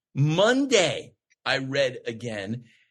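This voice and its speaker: The man's voice is bright and sharp in tone, with a fairly high pitch. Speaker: actor. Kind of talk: casual chat. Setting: podcast interview. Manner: fast.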